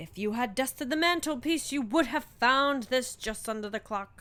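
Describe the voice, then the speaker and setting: At a moderate pace, a woman performs a put-on character voice set high in pitch. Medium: read story.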